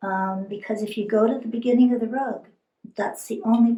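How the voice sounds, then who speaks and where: Fairly high in pitch with fairly even intonation, this woman has a normal speaking voice. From immigrated to Canada by boat. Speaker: weaver. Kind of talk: interview.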